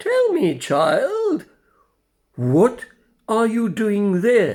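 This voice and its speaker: A put-on character voice at a very slow pace. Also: man, extremely high pitch for a man. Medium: read story. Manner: gentle, fatherly.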